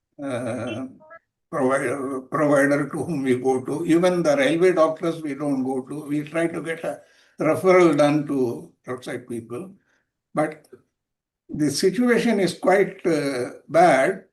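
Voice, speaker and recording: A man with an Indian accent talks at a fairly slow pace in a fairly high pitch, with ordinary pitch variation. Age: 80s+. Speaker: retired railway officer and healthcare advocate. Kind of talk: Q&A comment in online talk. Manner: halting.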